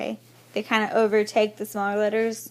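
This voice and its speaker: This woman's voice sits at a fairly high pitch. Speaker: teacher. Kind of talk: recorded lecture.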